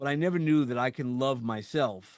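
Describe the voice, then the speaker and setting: With a New York accent, a man with a fairly high voice speaks with ordinary pitch variation against a quiet background. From New York, Brooklyn (Sheepshead Bay). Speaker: podcast host. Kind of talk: casual interview chat.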